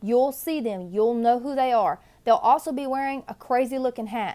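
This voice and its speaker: A woman's high-pitched voice with an American accent, at a moderate pace. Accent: Southern American, Cajun. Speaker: National Guard recruiter and drill sergeant. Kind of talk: casual talk to camera, advice video. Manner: energetic, friendly.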